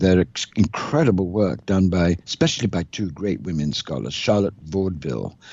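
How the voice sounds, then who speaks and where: A man talks at a moderate pace. He has an RP accent. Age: 60s. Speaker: mystic and author. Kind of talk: interview conversation. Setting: recorded conversation in Toronto. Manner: animated.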